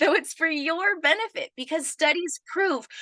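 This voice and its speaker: A woman speaks in a raised, projected voice with a bright, sharp, animated tone. Her pace is fairly slow, and the sound is dry and close with no echo. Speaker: business coach. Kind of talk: live webinar training. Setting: live stream video call.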